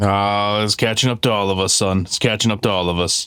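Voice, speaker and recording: A man puts on a gruff character voice, fairly low and flat in a monotone. He speaks at a fairly quick pace with very even loudness. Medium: actual play.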